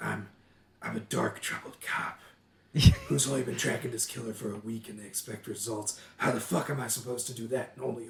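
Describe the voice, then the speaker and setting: A man puts on a gruff character voice at a medium pitch. He talks at a fairly quick pace. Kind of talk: clichéd tough-guy. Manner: cool, gruff.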